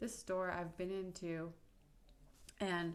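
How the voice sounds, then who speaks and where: Audible room echo surrounds the voice. A woman talks at a fairly slow pace. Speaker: video blogger on menstrual cycle tracking. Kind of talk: casual vlog monologue.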